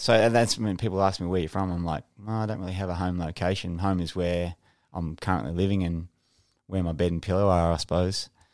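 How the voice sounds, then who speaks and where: Speaking at a very fast pace with an Australian accent, this voice comes through on a very clean recording against a silent background. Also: man, very deep, low pitch for a man. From Australia, NSW and Northern Territory. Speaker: retired special forces soldier. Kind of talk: casual interview.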